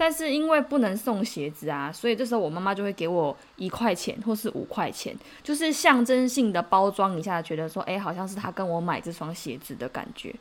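The speaker is a woman talking at a fairly quick pace. Her pitch swings very widely. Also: medium pitch for a woman. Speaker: podcast host, Korean translator. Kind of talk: casual chat.

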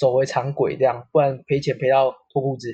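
Somewhat breathy, a man's voice comes through. He moves along at a fairly quick pace. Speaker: real estate company staff. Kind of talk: casual chat. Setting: online call.

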